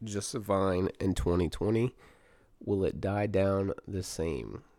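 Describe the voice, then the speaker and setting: Speaking very slowly, this voice has a dark, mellow tone and an American accent. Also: man. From US South. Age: 30s. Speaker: podcast host. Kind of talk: casual chat. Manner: unscripted, hesitant.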